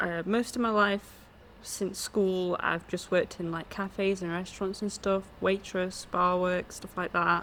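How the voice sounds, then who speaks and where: A woman's medium-pitched, monotone voice with flat intonation at a fairly slow pace. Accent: English. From England. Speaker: podcast co-host. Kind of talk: casual chat.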